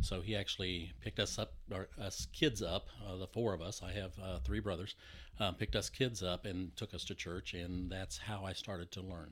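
Speaking at a moderate pace with an American accent, a man with a very deep, low pitch shows vocal fry and ordinary pitch variation. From US Texas. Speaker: sound engineer. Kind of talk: casual interview chat.

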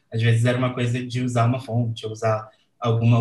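A medium-pitched man speaking at a moderate pace in a monotone, flat way. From Brazil, Rio de Janeiro. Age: 20s. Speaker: designer and letterer. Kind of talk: casual chat.

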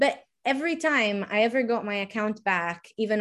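A woman speaks with an Italian accent against a quiet background. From Sardinia, Italy. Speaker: pole dance instructor and activist. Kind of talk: casual interview chat.

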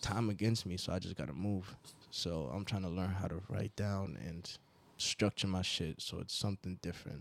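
A man with an American accent talks at a moderate pace. His pitch is very deep and low, with ordinary variation. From Nigeria, Port Harcourt. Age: 20s. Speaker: rapper. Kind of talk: casual chat. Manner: animated.

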